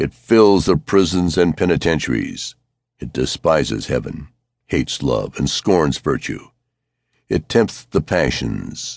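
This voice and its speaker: A man's very deep, low voice with vocal fry, at a fairly slow pace. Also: lively intonation. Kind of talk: sermon, read aloud as audiobook. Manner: fiery, forceful, thundering preacher delivery; declamatory, accusing, rising to rhetorical punches.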